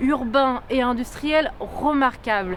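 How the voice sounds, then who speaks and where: Over noticeable background noise, a woman speaks very slowly in a high pitch. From France, Lyon. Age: 20s. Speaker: political candidate. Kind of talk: campaign statement.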